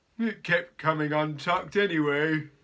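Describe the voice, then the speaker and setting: A man's put-on character voice at a fairly high pitch and a moderate pace. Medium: read story. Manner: warm, cheerful.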